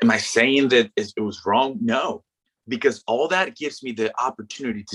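The sound is dry and close, with no echo. A man speaks at a moderate pace with a slight Mexican accent. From Mexico. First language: Spanish. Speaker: former baseball pitcher. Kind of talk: casual interview. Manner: animated.

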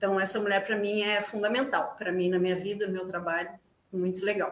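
In a room with audible echo, a woman speaks at a very fast pace and a medium pitch. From Rio Grande, southern Brazil. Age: 40s. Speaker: theatre actress. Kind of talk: casual interview chat. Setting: video call live stream from home.

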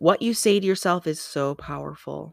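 An animated voice with a slight Michigan accent comes through a very clean recording with a silent background. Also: woman. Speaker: motivational speaker and podcast host. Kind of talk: motivational monologue.

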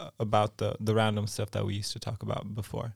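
A man with an American accent and an ordinary speaking voice, fairly low-pitched, talking at a fairly quick pace in a dry, close sound with no echo. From California. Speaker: podcast co-host. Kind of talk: casual chat.

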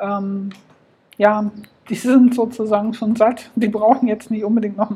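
Here a woman speaks at a moderate pace. Her intonation is monotone and flat. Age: 40s. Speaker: podcast host. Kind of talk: solo podcast monologue.

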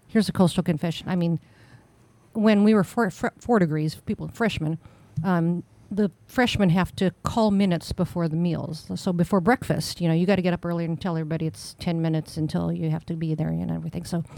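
A woman speaks very fast in a dark, mellow tone with fairly even intonation, on a very clean recording with a silent background. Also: fairly low pitch for a woman. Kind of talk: casual chat.

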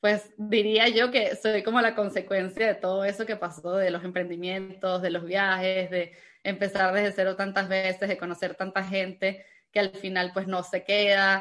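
At a fairly slow pace, a woman speaks in a bright, sharp tone with monotone, flat intonation. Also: medium pitch for a woman. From Venezuela. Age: 20s. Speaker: entrepreneur and travel content creator. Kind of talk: casual interview.

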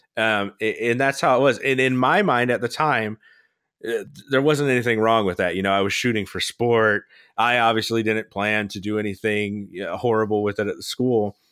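An unremarkable speaking voice, a man with an American accent, medium pitch, fairly even intonation and a moderate pace. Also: very clean recording, silent background. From Florida. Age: 30s. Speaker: podcast host. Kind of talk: casual chat.

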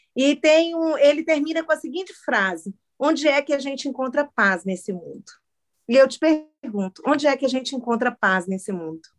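Over music in the background, a woman talks at a moderate pace in a high pitch with very wide pitch swings, the sound dry and close with no echo. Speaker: podcast host. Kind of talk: casual chat. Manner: loud.

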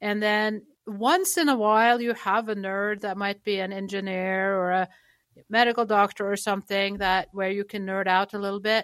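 Over a silent background in a very clean recording, a woman with a slight Norwegian accent speaks at medium pitch and a moderate pace with monotone, flat intonation. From Norway. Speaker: chiropractic clinic worker and patient advocate. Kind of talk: interview conversation.

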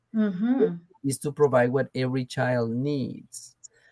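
A man speaks with a Colombian accent and lively intonation, his pitch fairly high. The sound is dry and close, with no echo. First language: Spanish. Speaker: education professor and former superintendent. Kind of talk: interview.

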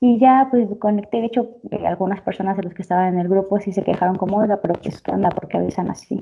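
At a very fast pace, a woman speaks in a medium pitch with fairly even intonation and a dark, mellow tone. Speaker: podcast co-host. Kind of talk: casual chat.

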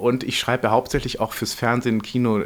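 A man speaks at a fairly quick pace in a medium pitch, his intonation monotone and flat. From northern Germany, near Hamburg. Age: 40s. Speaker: screenwriter and playwright. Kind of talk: interview. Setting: theatre upholstery workshop. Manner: halting, many repetitions and fillers.

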